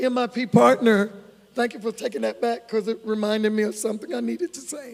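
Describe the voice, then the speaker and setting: The man talks in a high register with ordinary pitch variation. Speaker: ministry presenter. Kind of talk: fundraising presentation.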